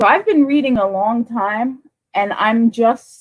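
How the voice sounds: A woman's fairly high voice at a slow pace, with ordinary pitch movement.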